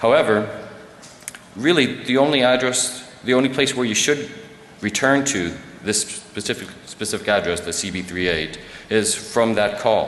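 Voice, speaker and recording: Noticeable background noise and audible room echo around a male voice of fairly low pitch. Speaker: security researcher giving a conference talk. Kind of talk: conference presentation. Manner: fast; many fillers and restarts.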